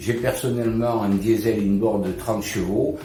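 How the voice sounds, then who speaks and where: Audible room echo and noticeable background noise surround this man's voice. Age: 60s. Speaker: customer reviewer, sailor. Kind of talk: product unboxing review. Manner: hesitant with frequent fillers.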